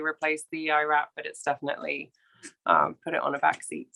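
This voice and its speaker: Speech comes at a fairly quick pace with an English accent. The sound is dry and close, with no echo. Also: woman. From England. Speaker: equine veterinarian. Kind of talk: interview. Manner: hesitant, many fillers.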